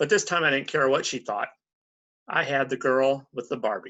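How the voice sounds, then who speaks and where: In a put-on character voice, a man sounds raspy at a medium pitch and a moderate pace. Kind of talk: confessional short story reading. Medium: read story. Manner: wry, self-deprecating.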